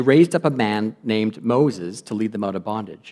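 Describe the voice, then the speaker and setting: The speaker is a man with a Canadian accent and an unremarkable speaking voice. He moves at a fairly quick pace with lively intonation. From western Canada (Lloydminster). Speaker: guest lay preacher. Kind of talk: sermon. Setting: church.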